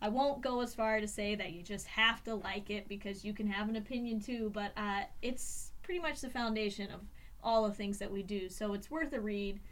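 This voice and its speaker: With an American accent, a woman speaks at a fairly high pitch and a moderate pace. Her pitch varies in an ordinary way, and room echo is audible. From Indiana. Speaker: podcast co-host, regional ecologist. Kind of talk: casual chat. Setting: recording studio. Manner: animated.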